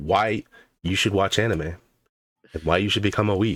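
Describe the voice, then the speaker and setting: An unremarkable speaking voice moves at a moderate pace with ordinary pitch variation, heard as a dry, close sound with no echo on a very clean recording with a silent background. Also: man. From Canada. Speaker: podcast co-host and streamer. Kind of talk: casual chat.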